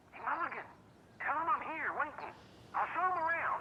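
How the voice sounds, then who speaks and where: Clear background noise sits behind a put-on character voice at an extremely high pitch. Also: fairly quick pace. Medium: video game. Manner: loud, blunt.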